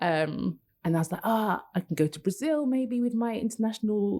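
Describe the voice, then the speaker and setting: A woman with a British accent talks at a moderate pace. Her intonation is lively. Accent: quite a British. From London, England. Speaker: copywriter. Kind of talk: interview conversation. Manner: hesitant, many fillers.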